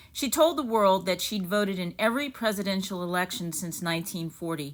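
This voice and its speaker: On a very clean recording with a silent background, a woman speaks in an ordinary speaking voice. Her pitch is medium, with ordinary pitch variation. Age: middle-aged. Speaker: running channel host, journalist. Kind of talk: scripted narration.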